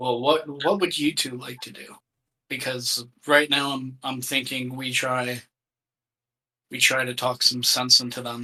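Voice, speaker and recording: A man does a put-on character voice, raspy and at a medium pitch with fairly even intonation. He goes at a fairly slow pace with long, frequent pauses and big swings in loudness. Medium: actual play. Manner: polite, formal, considerate.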